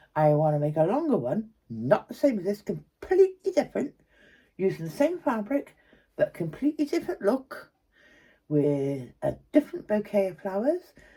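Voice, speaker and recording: Her tone is dark and mellow, and this woman is somewhat breathy. She moves at a moderate pace with very wide pitch swings. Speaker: craft tutor. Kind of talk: tutorial. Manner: soft-spoken; casual and chatty.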